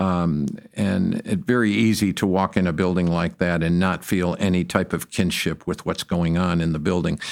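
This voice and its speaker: With an American accent, a man talks in a very deep, low voice at a moderate pace, keeping his loudness very even and his intonation fairly even, with hardly any pauses. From Detroit, Michigan. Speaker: architecture firm founder. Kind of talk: interview.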